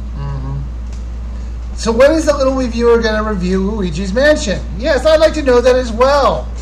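A man talks with hardly any pauses over light background noise. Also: moderate pace. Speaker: YouTube gaming channel host. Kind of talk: casual live Q&A stream. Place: home room. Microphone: webcam.

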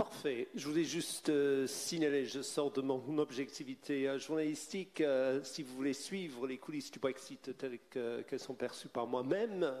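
At a fairly slow pace, a man with a British accent talks at a fairly high pitch with ordinary pitch variation. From Britain. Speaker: journalist and moderator. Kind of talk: panel debate moderation. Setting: stage with audience.

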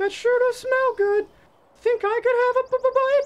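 A put-on character voice sounds squeaky at an extremely high pitch. The pace is fairly slow. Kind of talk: scripted comedy dialogue. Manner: nervous, stuttering. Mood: eager, hopeful.

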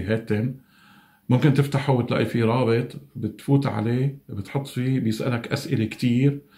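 With a quiet background, a man talks in a dark, mellow tone with ordinary pitch variation. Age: 50s. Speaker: COVID-19 survivor. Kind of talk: testimony. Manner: halting. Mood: calm, earnest. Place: home room. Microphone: phone near.

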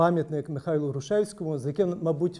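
A man's dark, mellow tone with fairly even intonation. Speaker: panelist. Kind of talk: formal round-table speech. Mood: calm, reflective. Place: meeting room.

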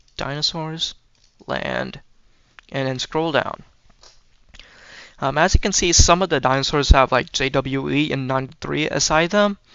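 A man's fairly high-pitched voice at a moderate pace, with ordinary pitch variation and long, frequent pauses. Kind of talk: tutorial narration. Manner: hesitant, many filler words.

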